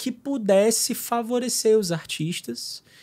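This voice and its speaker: Pitch shifts in an ordinary way here. The recording is very clean and the background silent. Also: man. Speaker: consecrated lay missionary, record label head. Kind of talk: casual podcast interview. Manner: halting, with many fillers and repetitions.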